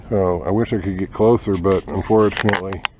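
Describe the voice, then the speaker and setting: Quiet and fairly low in pitch, a man speaks at a moderate pace over noticeable background noise. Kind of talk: nature walk video for students. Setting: outdoors on nature trail. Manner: quiet, keeping voice down.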